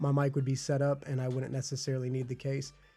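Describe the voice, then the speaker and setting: This is a man's voice. It sounds somewhat breathy, with a dark, mellow tone. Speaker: product reviewer. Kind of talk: product review. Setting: podcast studio. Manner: casual, hesitant with fillers.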